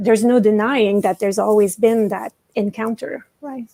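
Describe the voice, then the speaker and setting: In a French-Canadian accent, a woman speaks at a moderate pace with a dark, mellow tone and fairly high pitch, the sound dry and close with no echo. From Quebec, Canada. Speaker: professor and dramaturg. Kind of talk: panel discussion. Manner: halting, with repetitions.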